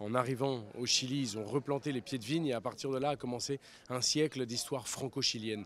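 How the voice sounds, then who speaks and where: Speaking very fast, a man keeps his intonation fairly even. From grew up abroad in many countries, French schools. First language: Spanish (speaking French). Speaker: writer. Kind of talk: interview.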